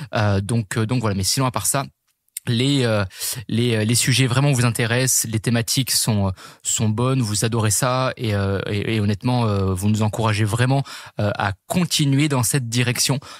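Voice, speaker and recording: A man with a medium pitch and ordinary pitch variation speaks at very even loudness. The very clean recording has a silent background and a dry, close sound with no echo. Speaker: fitness and nutrition coach, podcast host. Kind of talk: podcast monologue. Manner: fast; hesitant, many fillers.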